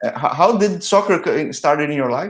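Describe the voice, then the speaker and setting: This man speaks with a Portuguese accent. His intonation is lively and his pace moderate. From Brazil. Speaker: soccer interviewer, channel host. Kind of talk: interview. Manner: halting, frequent repetitions and false starts.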